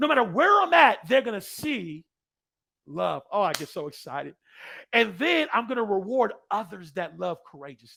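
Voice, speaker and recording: A man's high, raised, projected voice, energetic and bright, sharp in tone, with very wide pitch swings, big swings in loudness and a moderate pace. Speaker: motivational speaker. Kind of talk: keynote speech.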